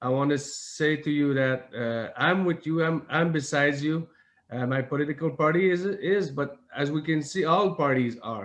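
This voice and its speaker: The speaker is a man with a fairly high pitch. He talks at a moderate pace with ordinary pitch variation. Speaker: member of parliament. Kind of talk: conference speech. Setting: online video conference. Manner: halting.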